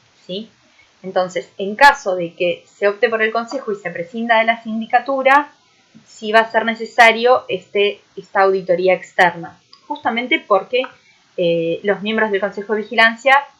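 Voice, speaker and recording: This woman's pitch is fairly high, with ordinary variation. She speaks at a moderate pace. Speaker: university lecturer. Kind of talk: recorded online lecture. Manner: many filler hesitations.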